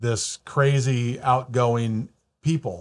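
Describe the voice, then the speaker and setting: This man's voice is somewhat breathy, set at a medium pitch with ordinary pitch variation. The recording is very clean, with a silent background. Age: 60s. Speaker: mortgage broker and podcast host. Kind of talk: interview. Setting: studio.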